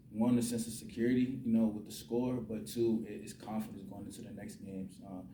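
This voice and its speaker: With audible room echo, a man with an American accent speaks in a medium pitch and fairly even intonation. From Virginia (Newport News). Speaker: college football quarterback. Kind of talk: post-game press conference. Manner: halting, many fillers and repetitions.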